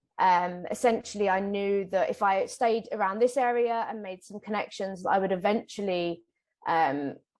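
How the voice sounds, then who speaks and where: With a British accent, a woman talks at a moderate pace. Her pitch variation is ordinary. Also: medium pitch for a woman. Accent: British, noticeable. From UK. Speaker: ecologist, whale researcher. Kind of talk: interview, casual. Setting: recording in person together.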